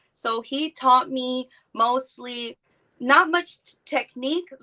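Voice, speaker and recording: A woman's high pitch comes with a bright, sharp tone and lively intonation. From Texas, small town. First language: Spanish. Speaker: art teacher and artist. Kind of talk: podcast interview.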